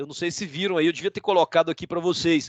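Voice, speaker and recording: A man's high voice, close and dry with no echo, over a quiet background. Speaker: law lecturer. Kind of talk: live online lecture. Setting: live video stream.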